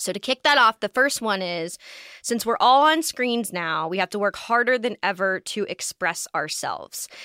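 In a General American accent, a woman uses a normal speaking voice, fairly high in pitch, with lively intonation at a moderate pace, recorded with a dry, close sound and no echo. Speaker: podcast host. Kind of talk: casual chat.

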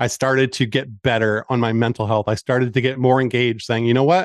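An unremarkable speaking voice from a man at medium pitch, fairly quick and with fairly even intonation, the sound dry and close with no echo over a quiet background. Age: 40s. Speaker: cancer support community founder. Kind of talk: interview.

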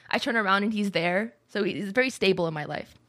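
A woman's unremarkable speaking voice, medium in pitch, at a fairly quick pace. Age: 20s. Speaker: streamer and podcast co-host. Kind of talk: casual chat. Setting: live stream.

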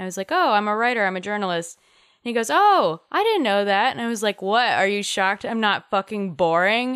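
A normal speaking voice, fairly quick in pace and ordinary in pitch variation, on a very clean recording against a silent background. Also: woman. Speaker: podcast co-host. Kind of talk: casual chat.

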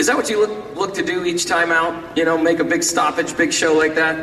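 Over noticeable background noise, a man speaks at a moderate pace with a high pitch. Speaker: boxing press conference host. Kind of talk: press conference moderating.

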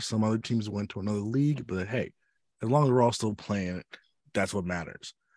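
With an American accent, a man talks at a fairly quick pace with very wide pitch swings on a very clean recording with a silent background. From Chicago south suburbs, Illinois. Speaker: podcast co-host. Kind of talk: casual chat.

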